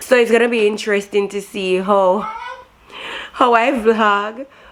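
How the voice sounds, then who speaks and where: Noticeable background noise sits behind a woman whose fairly high voice keeps a fairly even intonation. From Jamaica. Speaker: vlogger. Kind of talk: casual vlog talk to camera.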